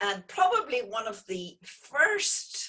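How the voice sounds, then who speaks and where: A woman's somewhat breathy voice with an Irish accent and ordinary pitch variation. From Northern Ireland, Belfast. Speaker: geologist and oil company founder. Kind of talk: online lecture interview.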